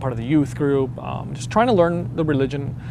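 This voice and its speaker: Noticeable background noise and audible room echo around a man talking at a medium pitch. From Venezuela. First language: Spanish. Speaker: convert to Islam. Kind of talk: testimony. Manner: halting, many fillers.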